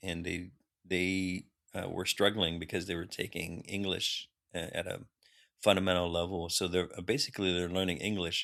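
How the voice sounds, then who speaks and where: A man with a Californian accent speaks at a moderate pace in a very deep, low voice, his bright, sharp tone delivered in a flat monotone on a very clean recording with a silent background. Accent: Californian American English. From US West Coast (Long Beach, California). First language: Khmer. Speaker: linguistics professor, army veteran. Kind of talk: interview conversation. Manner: halting, many fillers and restarts.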